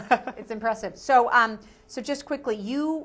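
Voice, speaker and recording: A woman speaks at a high pitch with an American accent. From Minnesota. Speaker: community TV host. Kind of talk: talk show interview. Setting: TV studio. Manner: fast.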